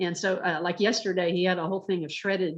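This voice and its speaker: A woman speaks in an American accent at medium pitch. Her pace is fairly quick. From Texas, Dallas. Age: 60s. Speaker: master gardener. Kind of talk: presentation. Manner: halting, many fillers and repeats.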